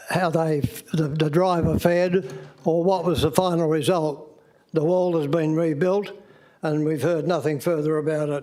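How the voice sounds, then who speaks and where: A man with an Australian accent speaks at a fairly high pitch in a flat, monotone way. Noticeable background noise and audible room echo surround him. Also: moderate pace. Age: 90s. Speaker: member of the public addressing council. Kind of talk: public statement at council meeting. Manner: halting.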